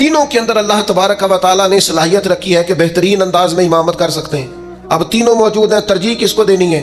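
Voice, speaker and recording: With music playing behind him, a man's voice rises and falls in a lively way. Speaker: Islamic preacher giving a religious sermon. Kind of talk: religious sermon (bayan) delivered to an audience.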